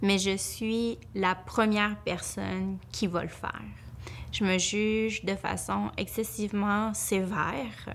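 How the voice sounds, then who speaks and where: Noticeable background noise accompanies a woman who speaks very slowly. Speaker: family lawyer. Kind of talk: testimony. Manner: halting.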